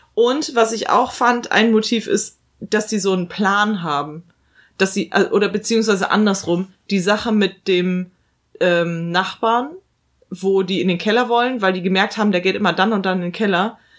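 A woman's plain, everyday voice at a moderate pace, in a very clean recording with a silent background. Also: medium pitch for a woman, ordinary pitch variation. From Germany, big-city suburb. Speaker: film podcast co-host. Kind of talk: casual chat.

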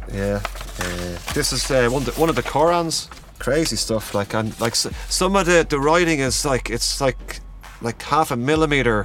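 Amid noticeable background noise, a man speaks with a Dublin accent. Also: moderate pace. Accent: Irish (Dublin). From Ireland, Dublin area. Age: 40s. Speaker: calligrapher and workshop organiser. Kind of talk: casual interview chat. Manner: halting, many fillers.

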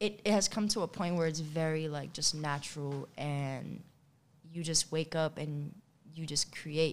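Speaking with an American accent, the voice moves at a fairly slow pace with fairly even intonation. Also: woman, very deep, low pitch for a woman. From New York City. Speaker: photographer. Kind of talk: casual interview chat.

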